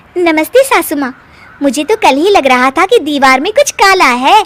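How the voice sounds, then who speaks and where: A woman uses a cartoonish character voice, extremely high in pitch with very wide pitch swings. She talks at a fairly quick pace in a dry, close sound with no echo. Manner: spirited, cheeky.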